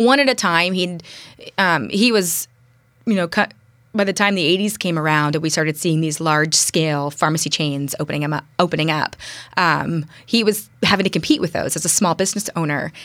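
A woman with an American accent and a plain, everyday voice speaks at a fairly quick pace, her fairly low pitch showing ordinary pitch variation. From US West Coast, San Francisco East Bay. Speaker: city council candidate. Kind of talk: interview. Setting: studio.

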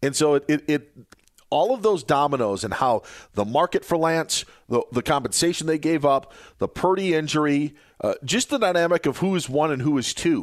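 A man's plain, everyday voice, fairly high in pitch with lively intonation, very even loudness and a moderate pace, dry and close with no echo. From Wisconsin. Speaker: fill-in sports radio host. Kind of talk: sports talk radio.

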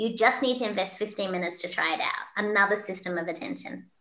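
Bright and sharp in tone, a woman with an Australian accent speaks at a fairly quick pace. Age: 50s. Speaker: keynote speaker and leadership coach. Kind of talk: interview. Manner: animated.

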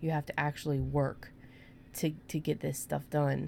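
A woman's very deep, low voice with a dark, mellow tone, at a moderate pace on a very clean recording with a silent background. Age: 30s. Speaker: podcast host. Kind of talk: casual chat. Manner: laughs often.

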